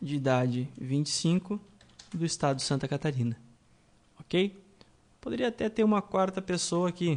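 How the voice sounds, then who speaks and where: The intonation here is lively. The pace is moderate, broken by long, frequent pauses. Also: man, high pitch for a man. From Rio Grande do Sul, Brazil. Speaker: programming instructor. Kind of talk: tutorial.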